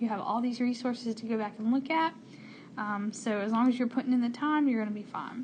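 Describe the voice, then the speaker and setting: A woman talks at a very fast pace in a high pitch with fairly even intonation. Noticeable background noise sits behind her. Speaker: math teacher. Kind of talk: tutorial. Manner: casual.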